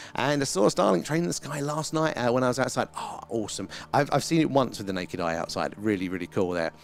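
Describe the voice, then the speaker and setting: Against noticeable background noise, a man at a medium pitch races along at a very fast pace with hardly any pauses and very wide pitch swings. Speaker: livestream host, stargazing.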